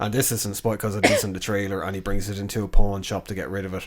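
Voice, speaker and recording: A man with an Irish accent, fairly low pitch, monotone, flat intonation and a very fast pace. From Ireland. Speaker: podcast co-host. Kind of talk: casual chat. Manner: casual, informal.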